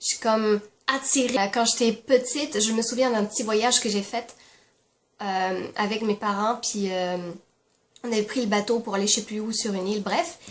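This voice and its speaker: Long, frequent pauses break up a woman's speech at a moderate pace. Her voice is fairly high in pitch, with fairly even intonation. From France. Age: 20s. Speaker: YouTuber. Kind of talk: casual talk to camera.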